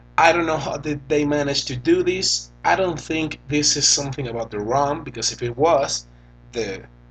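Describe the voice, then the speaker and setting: Someone with a Venezuelan accent speaks at a moderate pace with ordinary pitch variation, over noticeable background noise. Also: man, fairly high pitch for a man. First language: Spanish. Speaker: tech reviewer. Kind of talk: tutorial.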